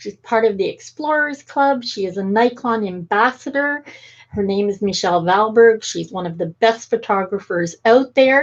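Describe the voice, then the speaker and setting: A woman uses an ordinary speaking voice, fairly high in pitch, at a moderate pace with ordinary pitch variation. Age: 60s. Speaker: talk show host. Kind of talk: interview conversation.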